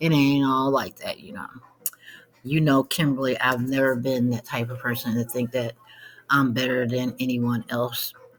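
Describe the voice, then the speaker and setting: A woman speaks with a very deep, low pitch and fairly even intonation. Her moderate pace comes with big swings in loudness. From Cleveland, Ohio. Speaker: vlogger and author. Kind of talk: casual monologue.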